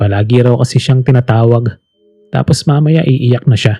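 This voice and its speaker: The man's voice is somewhat breathy, with a dark, mellow tone, a medium pitch, ordinary pitch variation, a moderate pace and a dry, close sound with no echo. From Philippines. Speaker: voice actor. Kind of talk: horror story narration. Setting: home studio.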